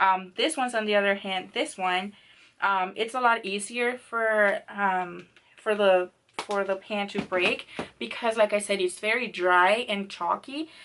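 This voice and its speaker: Her voice is bright and sharp, a woman at medium pitch with ordinary pitch variation. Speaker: beauty vlogger. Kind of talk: casual product review to camera. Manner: casual, hesitant, with filler words and cursing.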